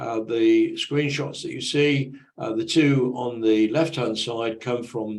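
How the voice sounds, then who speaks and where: There's audible room echo around a man with a British accent. He speaks at a medium pitch and a fairly slow pace. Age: 70s. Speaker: conference presenter. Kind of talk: presentation. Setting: online conference presentation. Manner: halting, many fillers.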